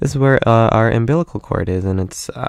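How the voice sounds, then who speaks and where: The sound is dry and close with no echo, over a quiet background. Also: man. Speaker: anatomy teacher. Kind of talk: lecture. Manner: fast; many filler words.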